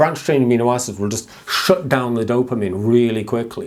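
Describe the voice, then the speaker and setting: This man, with an English accent, talks at a medium pitch with ordinary pitch variation over noticeable background noise. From England. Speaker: mental health vlogger. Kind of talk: personal talk to camera.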